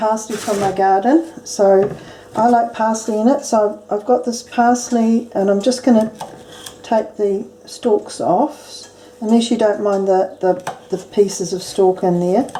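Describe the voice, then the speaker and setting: Speaking at a fairly slow pace with a New Zealand accent, a woman holds a fairly high pitch and fairly even intonation against noticeable background noise. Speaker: home cook. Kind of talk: cooking tutorial to camera. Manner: casual.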